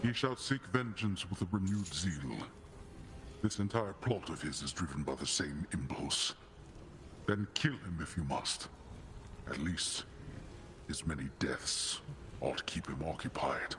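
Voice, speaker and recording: Over clear background noise, a man in a put-on character voice with a very deep, low pitch speaks at a moderate pace, with long, frequent pauses. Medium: video game. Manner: grave, formal, brooding.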